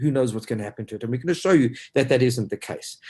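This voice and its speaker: Somewhat breathy, a man speaks in an animated tone with ordinary pitch variation. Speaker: financial advisor. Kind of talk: webinar presentation. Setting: online webinar. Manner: fast.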